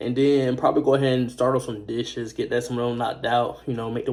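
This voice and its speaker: This man's tone is dark and mellow. He speaks at a fairly quick pace. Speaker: music producer and vlogger. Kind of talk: casual vlog. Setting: laundry room. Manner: fast.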